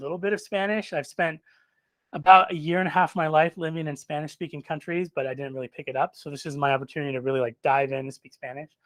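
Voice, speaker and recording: A man talks at a very fast pace. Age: 40s. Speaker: software developer and bootcamp graduate giving a talk. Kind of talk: informal talk to a live and online audience. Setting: in-person event, also streamed online. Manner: casual, with many fillers.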